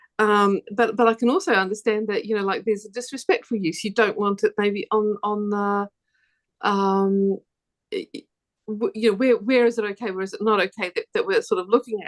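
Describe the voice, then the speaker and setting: A woman with a fairly high pitch talks at a fairly quick pace with fairly even intonation, in a dry, close sound with no echo. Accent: New Zealand. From New Zealand. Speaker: quilter. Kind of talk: panel discussion. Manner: halting, many repetitions.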